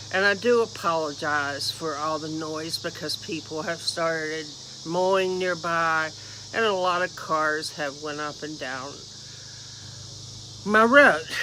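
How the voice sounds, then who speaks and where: A woman speaks in a very deep, low voice at a fairly slow pace, with ordinary pitch variation and long, frequent pauses. Her loudness swings widely, and there is noticeable background noise. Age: 60s. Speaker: YouTuber. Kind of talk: reading aloud; casual vlog talk. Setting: outdoors.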